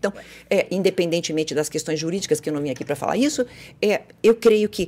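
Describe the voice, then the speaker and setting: A woman speaks with vocal fry. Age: 50s. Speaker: psychologist and former radio host. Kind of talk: casual chat.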